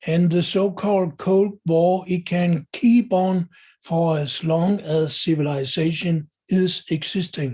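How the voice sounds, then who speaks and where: With a Danish accent, a man speaks in a high voice with a dark, mellow tone. His intonation stays fairly even, and his pace is very slow. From Denmark. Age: 70s. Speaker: video blogger. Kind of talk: monologue commentary. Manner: halting with fillers.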